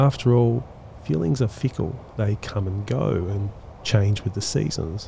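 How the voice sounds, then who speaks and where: The intonation is lively, and background noise is clearly heard behind it. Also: man, fairly low pitch for a man. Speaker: podcast host. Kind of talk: poetry analysis podcast narration.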